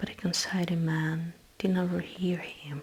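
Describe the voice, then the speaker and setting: There is noticeable background noise behind this voice. A woman speaks very slowly at a fairly low pitch. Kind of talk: ASMR book reading, bedtime story. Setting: close microphone, headphones, page flipping sounds. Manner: soft, slow narration.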